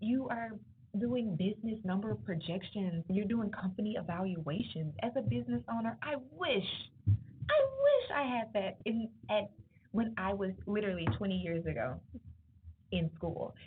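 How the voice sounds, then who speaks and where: With noticeable background noise behind her, a woman of medium pitch talks at a moderate pace in an animated tone with lively intonation, leaving long, frequent pauses. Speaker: entrepreneur and guest speaker. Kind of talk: motivational talk to students. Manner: loud.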